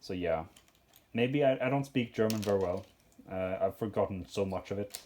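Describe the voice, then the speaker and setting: The speaker talks at a moderate pace with a Swedish accent. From Sweden. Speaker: Lego hobbyist YouTuber. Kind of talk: casual chat while sorting. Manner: halting, many fillers.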